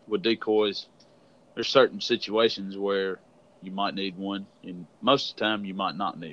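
A man's fairly low voice in a Southern US accent, fairly even intonation, moderate pace, quiet background. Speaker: podcast host, turkey hunter. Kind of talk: casual interview chat.

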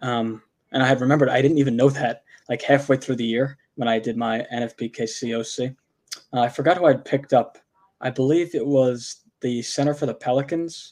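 A man speaks at a moderate pace in an unremarkable speaking voice, his medium pitch held to fairly even intonation. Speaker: fantasy sports podcast co-host. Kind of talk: casual chat.

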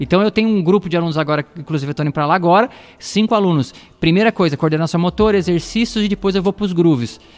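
Talking at a very fast pace, a man with a high pitch and ordinary pitch variation is heard in a dry, close sound with no echo. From Osasco, São Paulo, Brazil. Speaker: gospel musician and drum teacher. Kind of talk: casual interview chat.

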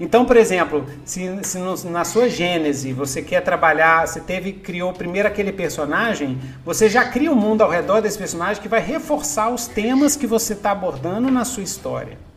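Over noticeable background noise, a man with a high voice talks at a moderate pace with lively intonation. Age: old. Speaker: podcast host, writer. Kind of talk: casual chat. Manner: animated.

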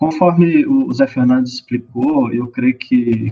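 A man's intonation stays fairly even as he talks fairly slowly. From Minas Gerais, Brazil (Luz). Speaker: mathematics professor. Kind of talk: radio interview. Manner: hesitant, many fillers.

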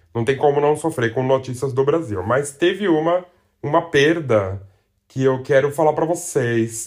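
A man speaks in a fairly high voice with ordinary pitch variation. His pace is moderate. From Brazil. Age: 40s. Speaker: podcast host. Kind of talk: casual monologue.

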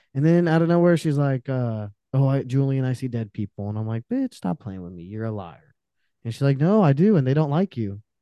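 A man with a dark, mellow tone and medium pitch speaks at a fairly quick pace, with very wide pitch swings and big swings in loudness, in a dry, close sound with no echo and a quiet background. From Romanian family, raised in US from age three. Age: 20s. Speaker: podcaster and graphic designer. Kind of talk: casual interview chat. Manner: animated.

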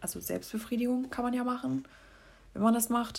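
A woman talks in a somewhat breathy voice. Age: 20s. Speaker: solo podcaster. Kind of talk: casual monologue.

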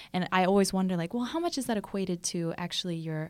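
A woman with a plain, everyday voice speaks at a fairly quick pace, her pitch fairly low. The recording is very clean, with a silent background. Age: 20s. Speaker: podcast host. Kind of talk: casual interview. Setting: studio.

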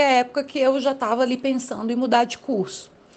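The woman's high-pitched voice moves at a fairly quick pace. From Brazil, Federal District. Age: 20s. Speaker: political scientist. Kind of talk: interview. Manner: hesitant with fillers.

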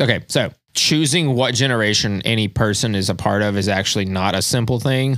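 At a fairly quick pace, a man with an ordinary speaking voice talks at medium pitch, with ordinary pitch variation and very even loudness. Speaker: podcast co-host. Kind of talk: casual chat.

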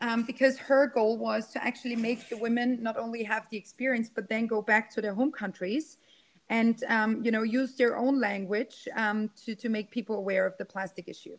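A woman with a German accent speaks at a moderate pace in a fairly high pitch, her intonation fairly even. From Austria. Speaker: climate activist and keynote speaker. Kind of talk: casual interview. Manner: halting, many fillers.

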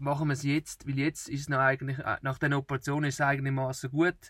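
In a very clean recording with a silent background, a man with a fairly high pitch and a somewhat breathy voice talks at a fairly quick pace. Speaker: travel podcaster. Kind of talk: casual chat. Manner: halting.

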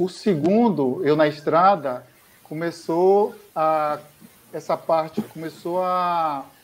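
The recording is very clean, with a silent background. A man with a fairly high pitch talks at a very slow pace with ordinary pitch variation. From Ilhéus, southern Bahia, Brazil. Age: 40s. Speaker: pharmaceutical sales rep and amateur runner. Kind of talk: interview, personal testimony. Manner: hesitant, many fillers.

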